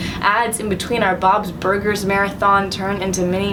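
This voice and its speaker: A woman's medium-pitched voice comes through flat and monotone, with noticeable noise in the background. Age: young. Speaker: poet. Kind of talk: poetry reading.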